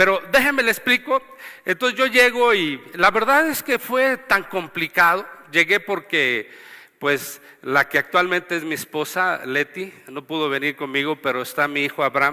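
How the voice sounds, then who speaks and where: Speaking fairly slowly, a man uses a high-pitched voice with a bright, sharp tone and very wide pitch swings, recorded dry and close with no echo. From Mexico, Durango (Gómez Palacio). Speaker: pastor. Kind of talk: testimony.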